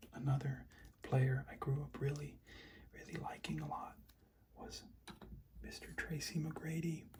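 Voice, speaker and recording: Soft-spoken and at a fairly slow pace, the speaker leaves long, frequent pauses. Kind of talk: soft-spoken ASMR card showing.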